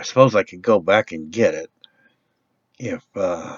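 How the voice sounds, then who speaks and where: Putting on a raspy character voice, a man speaks at a moderate pace and medium pitch, his loudness swinging widely. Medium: solo performance. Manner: rambling, hesitant.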